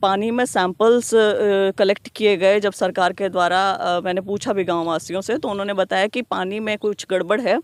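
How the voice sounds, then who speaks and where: A woman speaks at a moderate pace with hardly any pauses. She has an unremarkable speaking voice of medium pitch. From Haryana, Kaithal district (Pai village). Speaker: politician. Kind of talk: interview.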